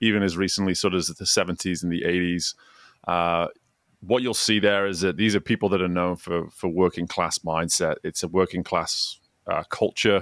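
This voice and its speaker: On a very clean recording with a silent background and a dry, close sound with no echo, a man with an English accent speaks at a moderate pace with a very deep, low pitch and fairly even intonation. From northwest England, Chester. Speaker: former swim coach, executive coach. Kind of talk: podcast interview.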